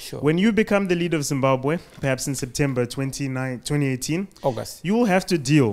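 A man with a plain, everyday voice speaks at a moderate pace and a fairly high pitch, his intonation lively and hardly any pauses between words. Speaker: audience member. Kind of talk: audience question. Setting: stage with audience. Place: hall.

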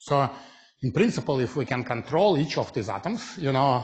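A somewhat breathy man's voice over a quiet background. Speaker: physics lecturer. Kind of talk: lecture. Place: hall.

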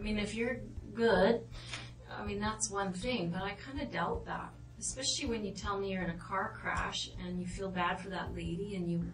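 There is audible room echo and light background noise as a woman speaks at a moderate pace. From Netherlands. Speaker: police interrogator. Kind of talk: police interrogation. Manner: hesitant, halting with fillers. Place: meeting room. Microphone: camera far.

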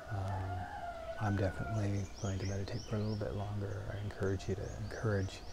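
Noticeable background noise sits behind a man speaking at a moderate pace. His tone is relaxed. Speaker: meditation teacher. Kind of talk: guided meditation, short one-minute beginner session with breath cues. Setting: online stream, internet connection. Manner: relaxed and informal, laughs lightly, many ums. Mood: calm, soft, relaxed. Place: home room. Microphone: lapel.

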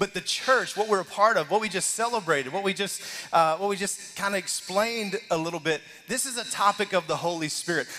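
The voice is raised and projected, with lively intonation. It keeps a moderate pace. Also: man. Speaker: lead pastor. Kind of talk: sermon. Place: church.

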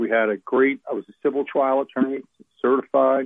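A man with an American accent speaks at a moderate pace in a medium pitch, his intonation flat and monotone. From New Jersey, Monmouth County (North Jersey shore). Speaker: pro-life attorney. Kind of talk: interview. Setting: phone call.

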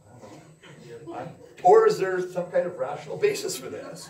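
A man talks, and audible room echo hangs on his words. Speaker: psychology instructor; university instructor. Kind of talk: lecture. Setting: stage with audience. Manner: casual. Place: classroom. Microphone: camera far.

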